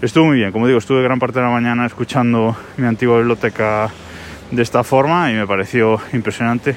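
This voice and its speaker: Speaking at a very fast pace, a man uses a medium pitch. His intonation is fairly even and his loudness very even. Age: 30s. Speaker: podcaster. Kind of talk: casual monologue.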